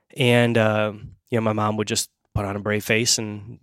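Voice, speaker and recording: In a very clean recording with a silent background, a man speaks at a moderate pace with fairly even intonation. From Ukraine, moved to the US as a young child. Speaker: coach and author. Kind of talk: casual interview conversation. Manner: halting, many restarts.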